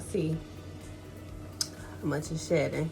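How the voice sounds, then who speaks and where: Music sounds in the background while a woman talks. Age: 20s. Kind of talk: casual talk to camera. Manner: casual, chatty.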